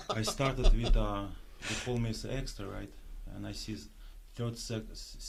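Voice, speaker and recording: A man with a Russian accent speaks at a moderate pace, leaving long, frequent pauses. His loudness swings widely, and audible room echo surrounds him. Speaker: pro bodybuilder and actor. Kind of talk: casual interview. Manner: halting.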